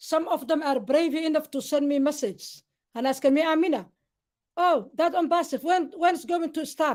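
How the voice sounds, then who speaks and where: A woman's high voice with a Somali accent, ordinary pitch variation and a moderate pace, on a very clean recording with a silent background. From Somalia, Mogadishu. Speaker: interview guest, network marketer. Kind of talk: live interview.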